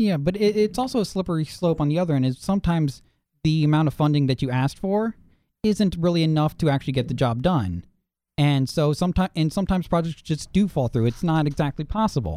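A man speaks very fast, his pitch fairly high and his intonation lively. His loudness stays very even throughout. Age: 20s. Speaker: co-host. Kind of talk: casual chat.

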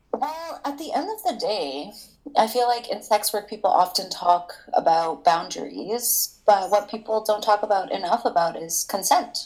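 At a moderate pace, a woman with a Canadian accent speaks at a fairly high pitch with very wide pitch swings, over noticeable background noise. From Toronto, Canada. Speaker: escort. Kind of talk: casual interview.

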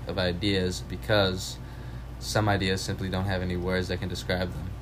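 With audible room echo, a man speaks at a moderate pace in a very deep, low pitch, his intonation lively and his voice showing vocal fry. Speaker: college student podcast host. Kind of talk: casual chat.

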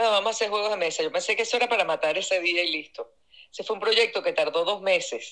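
Bright and sharp in tone, a woman talks at a fairly quick pace and medium pitch with ordinary pitch variation. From Venezuela. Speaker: artist. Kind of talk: interview.

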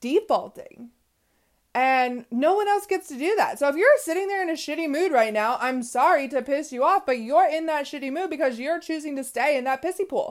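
A woman speaks in a high pitch at a moderate pace. Her tone is animated, with very wide pitch swings. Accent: American. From US West Coast. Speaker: podcast host. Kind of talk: motivational monologue.

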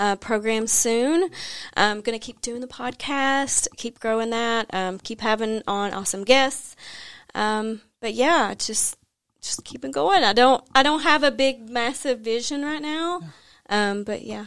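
In a very clean recording with a silent background, a woman with an American accent speaks fairly slowly in a fairly high pitch with lively intonation. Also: big swings in loudness. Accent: Southern US, slight now. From US South, Tennessee. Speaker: money coach and podcaster. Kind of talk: casual interview chat.

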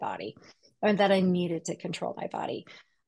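A woman with an American accent and a normal speaking voice, medium in pitch with ordinary variation, at a fairly quick pace. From US Pacific Northwest (Seattle). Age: 40s. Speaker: personal trainer and health coach. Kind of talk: casual interview chat.

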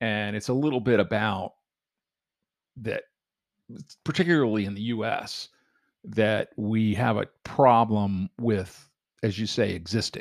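The voice moves at a fairly slow pace with ordinary pitch variation and long, frequent pauses. The sound is dry and close with no echo, in a very clean recording with a silent background. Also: man, fairly low pitch for a man. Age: 60s. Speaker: retired entrepreneur, father on family podcast. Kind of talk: casual chat. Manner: halting, many restarts.

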